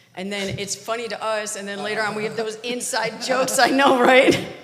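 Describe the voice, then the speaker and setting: Amid noticeable background noise and audible room echo, a woman with an American accent speaks at a fairly quick pace, with a fairly high pitch and ordinary pitch variation. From Detroit, Michigan. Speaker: married church member sharing at a couples retreat. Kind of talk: casual talk at a church retreat. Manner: animated.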